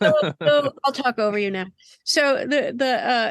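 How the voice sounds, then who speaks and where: In an ordinary speaking voice, the speaker talks at a fairly slow pace with ordinary pitch variation. The sound is dry and close with no echo, and the background is quiet. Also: woman. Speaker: singer-songwriter. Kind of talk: interview answer. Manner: casual, rambling.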